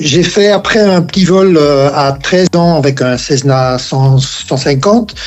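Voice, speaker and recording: Very slow speech with ordinary pitch variation against noticeable background noise. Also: man. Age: 70s. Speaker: app co-founder and ultralight pilot. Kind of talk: podcast interview. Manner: halting, many hesitations.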